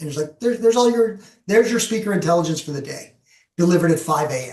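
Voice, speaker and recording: Lively intonation and big swings in loudness mark this man's very fast speech, pitched high for a man. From Canada. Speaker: professional speaker and presenter. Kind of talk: webinar presentation with Q&A. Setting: video call, LinkedIn Live.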